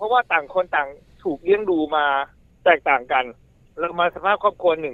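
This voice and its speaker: This man's high voice carries a lively intonation. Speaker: university administrator. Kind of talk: interview.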